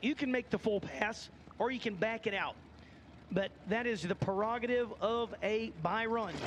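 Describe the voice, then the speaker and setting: A man's high-pitched voice with a slight Southern US accent, a moderate pace, very even loudness and fairly even intonation. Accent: slight Southern twang. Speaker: drag racing announcer. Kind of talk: live commentary. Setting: announcer tower at drag strip, PA system.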